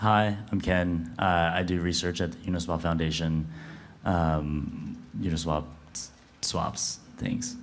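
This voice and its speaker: Very slow pace with ordinary pitch variation and audible room echo. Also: man, very deep, low pitch for a man. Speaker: crypto researcher. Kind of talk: panel discussion. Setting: stage with audience.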